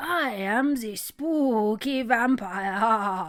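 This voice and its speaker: Using a put-on character voice, the woman pitches her speech fairly high. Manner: spooky.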